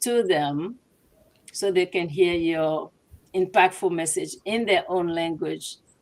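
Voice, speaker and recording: In a Ghanaian accent, a woman speaks at a fairly slow pace with a medium pitch and ordinary pitch variation. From Togo. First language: Ewe. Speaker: business owner. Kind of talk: interview. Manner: halting.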